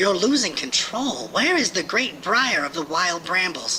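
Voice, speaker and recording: The speaker uses a put-on character voice at a middle pitch. Background noise is clearly audible. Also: moderate pace. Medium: read story. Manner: concerned, pleading.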